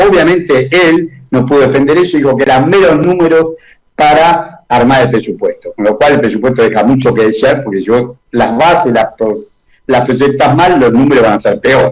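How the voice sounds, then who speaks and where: A man's fairly high-pitched voice at very even loudness. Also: ordinary pitch variation, moderate pace. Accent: Argentine. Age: 70s. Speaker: economist. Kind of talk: radio interview.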